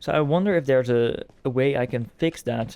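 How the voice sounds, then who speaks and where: A soft-spoken man talks at medium pitch in a dark, mellow tone. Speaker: gaming YouTuber. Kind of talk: gameplay commentary. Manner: halting. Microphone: quiet levels, voice hard to hear.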